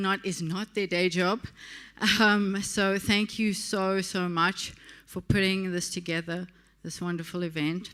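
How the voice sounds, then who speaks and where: With a South African accent, the speaker delivers monotone, flat intonation at a fairly slow pace on a very clean recording with a silent background. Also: woman. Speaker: partnership director of a tech community. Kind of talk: closing speech at awards event.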